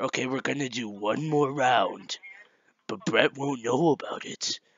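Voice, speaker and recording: A put-on character voice from a man, moderate in pace and medium in pitch. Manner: macho.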